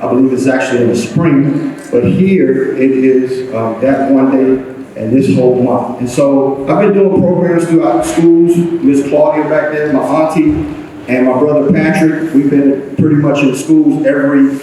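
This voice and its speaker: Over noticeable background noise and audible room echo, a man with an American accent and a fairly high pitch talks at a fairly slow pace. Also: ordinary pitch variation. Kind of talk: public talk to an audience. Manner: halting, many fillers.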